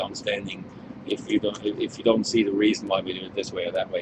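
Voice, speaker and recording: A man's voice against noticeable background noise. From Switzerland. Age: 40s. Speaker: winemaker. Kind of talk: wine tasting chat.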